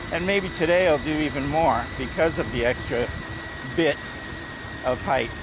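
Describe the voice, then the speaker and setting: A man at a moderate pace with long, frequent pauses, ordinary pitch variation and noticeable background noise behind him. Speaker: vlogger riding a trike. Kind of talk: casual vlog monologue. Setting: outdoors, riding a trike. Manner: loud.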